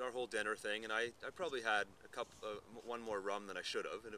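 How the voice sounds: The voice moves at a fast pace with a bright, sharp tone and fairly even intonation. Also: man, fairly low pitch for a man.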